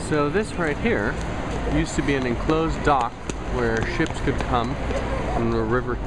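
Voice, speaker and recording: Loud background noise runs throughout as a man speaks at a moderate pace. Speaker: travel vlogger. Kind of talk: casual vlog commentary. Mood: wry, sarcastic. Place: street. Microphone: phone near.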